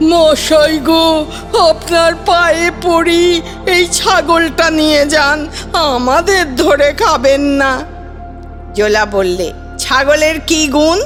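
A woman speaks at an extremely high pitch. Music plays in the background. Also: ordinary pitch variation. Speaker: storyteller. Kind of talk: children's fairy tale reading.

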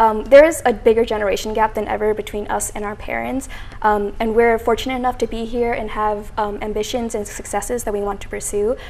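A woman talks at a very fast pace in a fairly high pitch. Light background noise can be heard. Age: 20s. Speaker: student organizer; guest. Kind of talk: interview. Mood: earnest, slightly nervous. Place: studio. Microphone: lapel.

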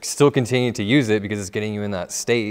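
Against a quiet background, a man with a Californian accent speaks with fairly even intonation. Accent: Californian American. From Southern California. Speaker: music producer; interview guest. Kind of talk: interview. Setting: studio. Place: studio. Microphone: lapel.

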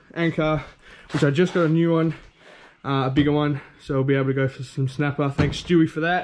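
Light noise sits in the background as a man talks. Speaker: fishing vlogger. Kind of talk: casual vlog chat. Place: garden. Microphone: phone near.

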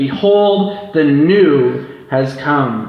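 A man is heard with audible echo from the room. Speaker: preacher. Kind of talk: scripture reading in a sermon. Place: church. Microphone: camera far.

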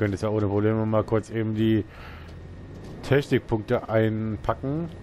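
At a moderate pace, a man with a fairly low pitch and ordinary pitch variation speaks with long, frequent pauses. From eastern Germany, near Leipzig. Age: 30s. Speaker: gaming YouTuber. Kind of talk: let's play commentary. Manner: casual, chatty.

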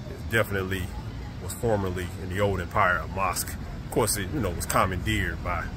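Loud background noise sits under very fast speech recorded dry with no echo. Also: man. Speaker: vlogger. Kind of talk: casual vlog chat. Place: street. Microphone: phone near.

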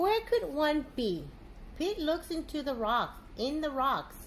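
A woman talks slowly in a high voice. Her pitch swings widely.

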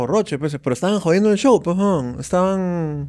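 Against a quiet background, a man talks in a dark, mellow tone. His pitch variation is ordinary. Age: 40s. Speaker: stand-up comedian; podcast guest, comedian. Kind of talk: casual chat. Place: studio. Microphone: studio mic.

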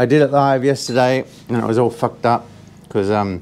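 There is light background noise as a man speaks with ordinary pitch variation. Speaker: vlogger musician. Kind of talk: casual vlog chat. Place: home room.

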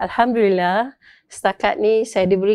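A woman speaks over a quiet background. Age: 60s. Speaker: product distributor. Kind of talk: testimonial.

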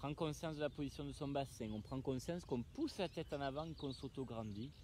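A man speaks at a fairly quick pace with lively intonation. The sound is dry with no echo, though noticeable background noise is present. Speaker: fitness instructor. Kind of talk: exercise class coaching. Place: open country.

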